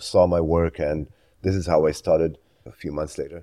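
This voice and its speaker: A dark, mellow tone with an Israeli accent, moderate pace and a quiet background. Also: man. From Israel (Tel Aviv area). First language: Hebrew. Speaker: photojournalist. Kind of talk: interview.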